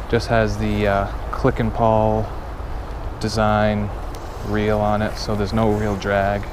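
Noticeable noise runs underneath the recording. A man talks in a dry space with no echo. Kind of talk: casual vlog chat. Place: waterside. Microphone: phone near.

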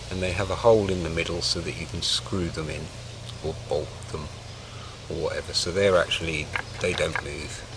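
With noticeable background noise but a dry sound with no echo, a man speaks at a moderate pace in a very deep, low pitch with fairly even intonation. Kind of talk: tutorial. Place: forest. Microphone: camera far.

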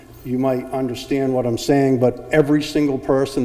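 Speaking at a moderate pace in a room with audible echo, a man uses a medium pitch and a monotone, flat intonation with a dark, mellow tone. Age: 60s. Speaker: zoning applicant, homeowner. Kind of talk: public hearing testimony. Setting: town hall public meeting.

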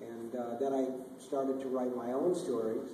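A man at a moderate pace with monotone, flat intonation, light background noise and audible room echo. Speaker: guest. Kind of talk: Q&A answer. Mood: relaxed, anecdotal, some laughs. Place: hall.

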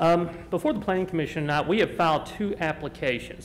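A man with a normal speaking voice talks at a fairly quick pace and a fairly high pitch. His pitch variation is ordinary, with light background noise. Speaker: applicant's representative. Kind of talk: formal presentation. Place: hall. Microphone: podium.

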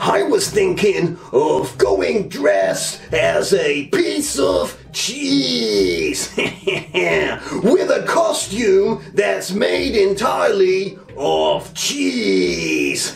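A man's cartoonish character voice at a very slow pace, over clear background noise. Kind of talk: comic puppet sketch. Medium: puppet show.

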